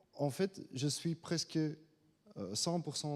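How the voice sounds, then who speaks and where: With a non-native accent, a man speaks very slowly in a fairly high voice. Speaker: government finance adviser. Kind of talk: conference talk. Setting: conference room with audience. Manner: halting, many hesitations.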